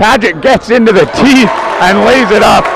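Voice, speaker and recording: Over crowd noise in the background, a man talks with an animated tone at a fairly slow pace, the sound dry with no echo. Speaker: play-by-play announcer. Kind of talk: sports commentary. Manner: animated, rising excitement on big plays. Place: stadium.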